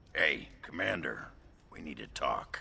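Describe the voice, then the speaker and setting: Against light background noise, a man puts on a raspy character voice and talks at a fairly slow pace. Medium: video game. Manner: blunt, casual.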